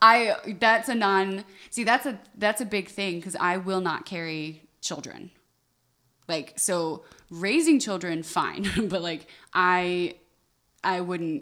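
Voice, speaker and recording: With a bright, sharp tone, a woman talks at a very slow pace with ordinary pitch variation. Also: medium pitch for a woman. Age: 20s. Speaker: podcast co-host. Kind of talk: casual chat. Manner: stutters and mumbles.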